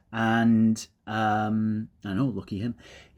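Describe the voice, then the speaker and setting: Fairly low male voice, recorded very cleanly against total silence. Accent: British. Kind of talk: casual talk to camera. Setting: outdoors. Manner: conversational, rambling.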